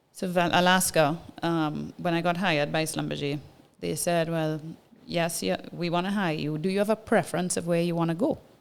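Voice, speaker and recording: In a Trinidadian accent, a woman speaks at a moderate pace with a fairly low pitch and fairly even intonation. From Trinidad and Tobago. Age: 40s. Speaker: businesswoman, former oil and gas engineer. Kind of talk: casual interview storytelling.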